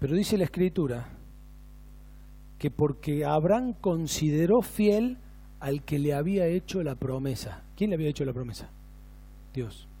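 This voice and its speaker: Long, frequent pauses break up a man's speech at a fairly slow pace. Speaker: pastor. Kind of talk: sermon. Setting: church.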